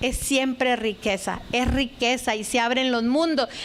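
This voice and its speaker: Over noticeable background noise, a woman speaks fairly slowly at a high pitch with fairly even intonation. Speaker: lecturer, linguistics scholar. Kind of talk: lecture.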